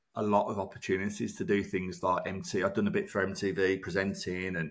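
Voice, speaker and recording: A man speaks very fast in a Birmingham accent. The recording is very clean, with a silent background. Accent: Brummie. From Birmingham, England. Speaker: broadcaster and former reality TV contestant. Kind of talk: casual interview chat.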